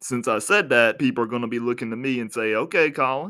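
At a moderate pace, a man speaks in an unremarkable speaking voice of medium pitch with ordinary pitch variation. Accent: American. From United States. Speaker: podcast host. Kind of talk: solo podcast monologue.

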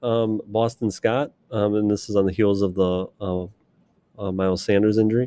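A man with a dark, mellow tone and fairly low pitch speaks at a moderate pace. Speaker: fantasy football podcast co-host. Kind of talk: casual chat. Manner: animated.

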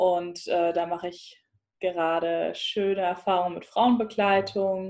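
A woman's plain, everyday voice at a medium pitch, fairly slow in pace, with fairly even intonation. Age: 20s. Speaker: psychologist and mother. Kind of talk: interview.

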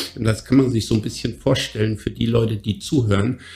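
A man's voice at medium pitch. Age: 50s. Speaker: fitness coach and podcast co-host. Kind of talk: casual chat. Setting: office. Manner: animated.

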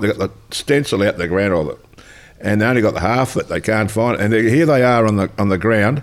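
In an Australian accent, a man of medium pitch talks at a very fast pace with ordinary pitch variation. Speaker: former footballer. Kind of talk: casual interview.

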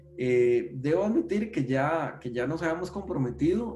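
Audible room echo and noticeable background noise surround the recording. A man speaks at a moderate pace with ordinary pitch variation. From Costa Rica, San José. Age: 40s. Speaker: database technology expert. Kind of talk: interview conversation. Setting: video call from home.

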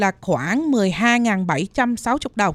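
In a very clean recording with a silent background and a dry, close sound with no echo, a woman speaks at a very slow pace in a fairly high pitch with lively intonation. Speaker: health insurance agent. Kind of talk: informative talk on radio.

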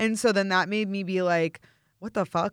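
Heard on a very clean recording with a silent background, the speaker talks with a Midwestern American accent. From St. Louis, Missouri. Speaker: meal prep business owner and model. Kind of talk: casual chat. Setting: Los Angeles. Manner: animated.

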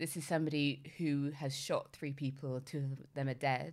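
A woman speaks with a London accent in a very deep, low voice. Her intonation is monotone and flat. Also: very clean recording, silent background. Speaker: podcast co-host. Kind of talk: casual chat.

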